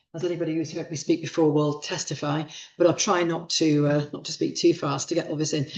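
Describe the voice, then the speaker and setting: Speaking very fast, a woman holds a very deep, low pitch and a monotone, flat intonation. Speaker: professor giving a guest lecture on childbirth. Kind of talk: lecture. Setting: lecture hall with live audience and online stream.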